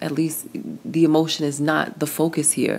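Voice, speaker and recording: Using an American accent, a woman speaks at a moderate pace in a very deep, low voice. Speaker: book review podcaster. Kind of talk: book review monologue. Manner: animated, fired up.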